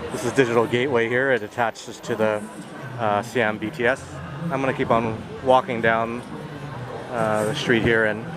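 With long, frequent pauses, a man speaks at a moderate pace in a dry sound with no echo over noticeable background noise. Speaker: travel vlogger. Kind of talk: casual vlog commentary. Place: street. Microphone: phone near.

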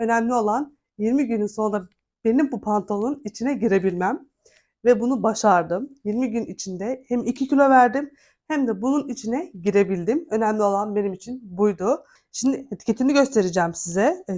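Her tone dark and mellow, a woman speaks at a moderate pace with a fairly high pitch and lively intonation on a very clean recording with a silent background. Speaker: vlogger. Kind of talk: vlog.

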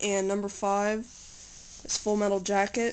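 Over light background noise, a woman talks in a monotone with flat intonation. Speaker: home video maker. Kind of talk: casual talk to camera. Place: home room. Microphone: phone near.

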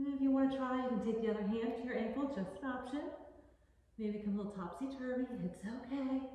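Talking at a very fast pace, a woman uses a high pitch with ordinary pitch variation. Strong room echo fills the recording. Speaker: yoga instructor. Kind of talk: guided yoga class, instructing poses. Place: home room.

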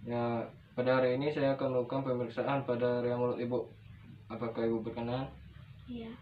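A man talks at a very fast pace in a monotone, flat intonation. Light background noise sits under his voice. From Indonesia. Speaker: nursing student. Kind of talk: practical skills demonstration; role-play clinical dialogue. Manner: formal. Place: home room. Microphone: camera far.

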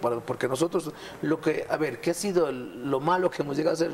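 A man speaks with ordinary pitch variation. Light background noise runs underneath. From Ecuador, Azuay province. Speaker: mayor. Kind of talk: TV interview. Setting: studio. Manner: animated. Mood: somber in last clip. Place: studio. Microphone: lapel.

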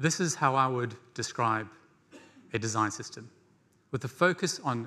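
A man's medium-pitched voice with a bright, sharp tone, lively intonation, an English accent, and a moderate pace. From rural England. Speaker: conference speaker, no-code design educator. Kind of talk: conference talk. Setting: stage with audience. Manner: animated. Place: stage.

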